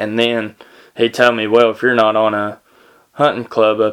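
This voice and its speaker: The speaker has a Tennessee accent and a fairly slow pace. The intonation is monotone and flat. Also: man. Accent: Southern US (Tennessee). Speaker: podcast host. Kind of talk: casual storytelling monologue. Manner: halting, many fillers.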